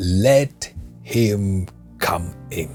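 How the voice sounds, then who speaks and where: Clear music plays behind a man doing a put-on character voice. It is very deep, low and rumbling. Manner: commanding.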